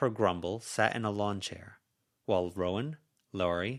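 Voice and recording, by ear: In a quiet setting, the text is read aloud in a natural voice.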